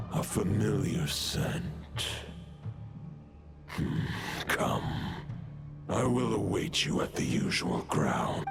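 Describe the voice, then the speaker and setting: A man speaks very slowly in a put-on character voice. Clear music plays in the background. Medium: machinima. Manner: solemn, formal.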